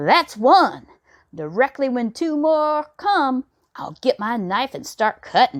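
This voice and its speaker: Someone uses a put-on character voice at a fairly slow pace, in a very clean recording with a silent background. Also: woman, high pitch for a woman. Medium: read story. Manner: plain, folksy.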